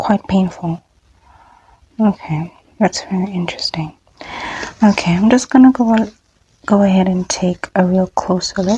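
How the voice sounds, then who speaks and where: A soft-spoken woman talks at a fairly slow pace with long, frequent pauses and ordinary pitch variation. The sound is dry and close with no echo. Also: medium pitch for a woman. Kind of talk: ASMR medical role play.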